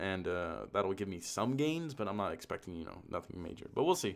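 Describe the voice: A man speaks at a low pitch and fairly quick pace, with vocal fry and big pitch swings. The recording is very clean, with a silent background.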